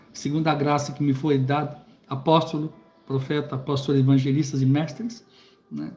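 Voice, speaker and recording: A man's somewhat breathy voice, fairly high in pitch, at a moderate pace. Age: 60s. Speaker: preacher and Bible teacher. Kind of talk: live stream book commentary. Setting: live stream on YouTube. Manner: halting, many repetitions and fillers.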